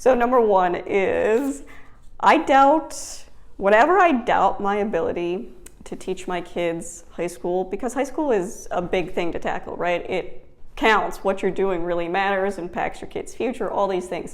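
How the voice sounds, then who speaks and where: With lively intonation and an American accent, a woman speaks fairly slowly at medium pitch amid audible room echo. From Wisconsin. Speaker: homeschooling mom and vlogger. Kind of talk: casual vlog talk. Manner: conversational with fillers.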